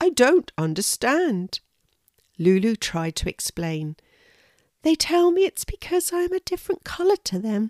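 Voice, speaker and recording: Speaking at a fairly slow pace, a woman makes very wide pitch swings in a dry, close sound with no echo. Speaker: children's storyteller. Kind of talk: storytelling read aloud.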